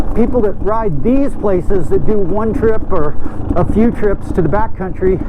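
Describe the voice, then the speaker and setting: A man with a high pitch speaks at a moderate pace, with ordinary pitch variation and very even loudness. Audible room echo and noticeable background noise surround him. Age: 60s. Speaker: off-road motorcycle vlogger. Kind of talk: casual vlog monologue. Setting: outdoors on a trail. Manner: halting, many fillers and restarts.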